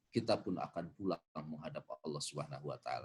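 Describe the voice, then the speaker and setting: A man is speaking. He goes at a very fast pace. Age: 40s. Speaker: Islamic preacher. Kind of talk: religious talk with Q&A.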